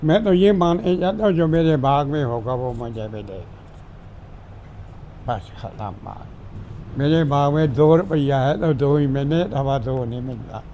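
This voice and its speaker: Audible room echo surrounds a man whose fairly high-pitched voice carries lively intonation. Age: 90s. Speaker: retired government clerk. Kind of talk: family interview.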